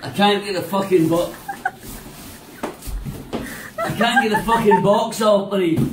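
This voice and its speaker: A man talks in a high voice at a moderate pace. Noticeable background noise is present. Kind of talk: frustrated drunken pleading. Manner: drunk, exasperated, muffled by box. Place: home room. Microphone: phone near.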